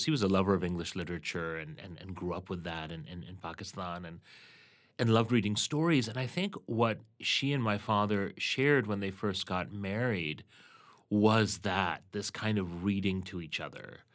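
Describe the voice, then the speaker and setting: With a plain, everyday voice, a man of fairly low pitch speaks at a moderate pace with lively intonation in a very clean recording with a silent background. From Canada. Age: 40s. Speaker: journalist and educator. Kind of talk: interview conversation.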